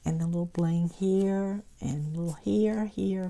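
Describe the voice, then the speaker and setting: On a very clean recording with a silent background, a woman with a Southern US accent speaks at a very slow pace in a fairly low pitch, with a dark, mellow tone and ordinary pitch variation. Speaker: crafting YouTuber. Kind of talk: craft haul show-and-tell.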